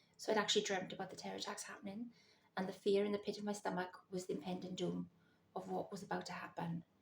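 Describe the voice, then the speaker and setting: Whispering in a Welsh accent, the speaker rushes along at a very fast pace. Vocal fry runs through the voice. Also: woman. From Wales. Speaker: psychic vlogger. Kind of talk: personal storytelling vlog. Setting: at home in the early morning.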